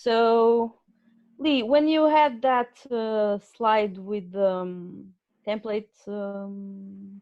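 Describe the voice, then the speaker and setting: A woman with a non-native accent, a fairly high pitch and ordinary pitch variation, at a very slow pace. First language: not English. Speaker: webinar presenter. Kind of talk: casual chat. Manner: halting.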